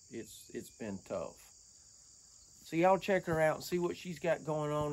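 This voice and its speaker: This man talks at a fairly quick pace. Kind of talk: casual vlog chat. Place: workshop. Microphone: camera far.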